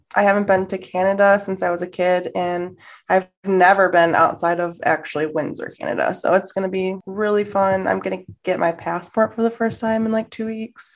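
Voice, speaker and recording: A woman with a Midwestern American accent speaks at a medium pitch and a moderate pace, with fairly even intonation and hardly any pauses. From Detroit area, Michigan, US. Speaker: travel podcast co-host. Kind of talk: casual interview chat. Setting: video call.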